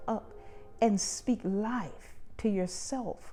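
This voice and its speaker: Music plays in the background as a woman speaks. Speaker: talk show host. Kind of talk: motivational self-help talk. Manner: encouraging, preacher-like.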